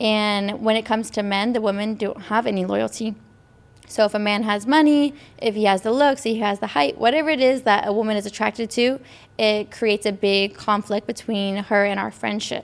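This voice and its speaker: The recording is very clean, with a silent background. A woman with a fairly high pitch speaks at a fairly quick pace in a normal speaking voice. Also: ordinary pitch variation. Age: 20s. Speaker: podcast co-host. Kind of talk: casual chat.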